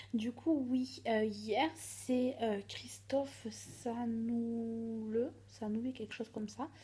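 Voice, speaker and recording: A woman is soft-spoken and somewhat breathy, with a dark, mellow tone. Her pitch is fairly high, and her intonation fairly even. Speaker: vlogger. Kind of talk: casual vlog.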